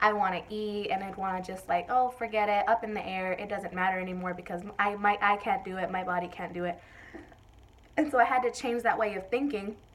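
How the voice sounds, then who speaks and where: Speaking at a fairly quick pace, a woman has a medium pitch with ordinary pitch variation. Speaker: vlogger. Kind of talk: casual vlog talk. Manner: fast.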